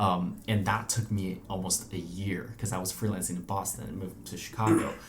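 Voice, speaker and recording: A man with a fairly low voice talks at a fairly quick pace and fairly even intonation, with noticeable background noise and audible room echo. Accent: Chinese. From mainland China, big city. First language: Chinese. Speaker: journalist. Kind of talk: casual interview. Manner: hesitant with frequent fillers.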